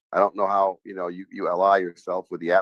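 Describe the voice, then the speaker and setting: A man speaks very fast at a fairly low pitch, recorded dry and close with no echo. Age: 60s. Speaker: lawyer. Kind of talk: courtroom argument. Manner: animated.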